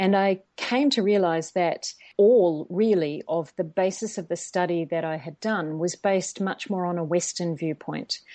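A woman's fairly low voice in a New Zealand accent, at a moderate pace with hardly any pauses. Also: ordinary pitch variation. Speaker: organizational psychologist. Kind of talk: interview.

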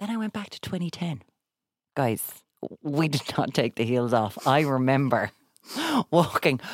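With an Irish accent and a very deep, low pitch, a woman speaks at a fairly slow pace with long, frequent pauses, very wide pitch swings, and big swings in loudness, in a dry, close sound with no echo. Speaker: broadcaster and TV presenter. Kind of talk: casual chat.

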